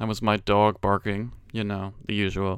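A man speaks at a fairly low pitch and a fairly slow pace. The recording is very clean, with a silent background. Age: 20s. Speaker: gaming podcast host. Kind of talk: casual monologue. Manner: animated.

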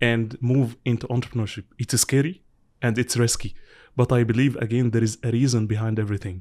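This is an unremarkable speaking voice from a man, medium in pitch with fairly even intonation, at a moderate pace. The recording is very clean, with a silent background. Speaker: podcast host. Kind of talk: interview.

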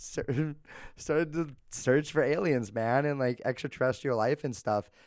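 Ordinary pitch variation and a moderate pace mark this man's speech. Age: 20s. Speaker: podcast co-host. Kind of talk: casual chat.

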